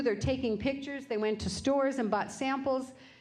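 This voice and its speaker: A woman talks with ordinary pitch variation, and audible room echo surrounds her voice. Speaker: business owner. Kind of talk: lecture. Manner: loud.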